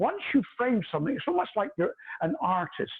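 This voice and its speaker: A loud man with very wide pitch swings. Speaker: hairdresser and educator. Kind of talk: tutorial. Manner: animated.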